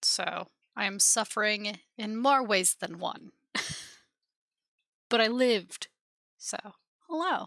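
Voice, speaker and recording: A woman with a bright, sharp tone and fairly high pitch speaks at a very slow pace. Her intonation is lively, broken by long, frequent pauses. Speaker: game streamer. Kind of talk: live gameplay stream chat. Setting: live stream.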